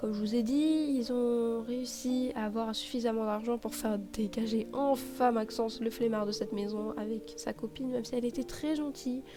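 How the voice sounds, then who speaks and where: A woman at a fairly high pitch with ordinary pitch variation, hardly any pauses, and noticeable background noise. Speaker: gaming YouTuber. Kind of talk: game commentary recap. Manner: slow; hesitant, many fillers.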